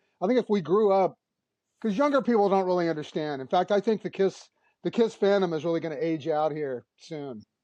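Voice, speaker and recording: A man with an American accent, high pitch, lively intonation and a fairly quick pace, against a quiet background. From Texas. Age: 60s. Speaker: rock musician. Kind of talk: casual chat.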